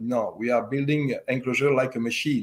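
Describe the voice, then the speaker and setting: A man speaks at a medium pitch with a slight French accent. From French-speaking Switzerland. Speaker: loudspeaker company owner. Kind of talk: interview. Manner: halting, many fillers.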